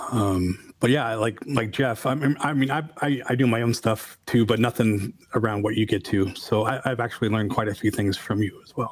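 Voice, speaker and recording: Speaking at a moderate pace, a man has a plain, everyday voice, a medium pitch and fairly even intonation. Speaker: podcast host. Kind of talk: casual interview chat.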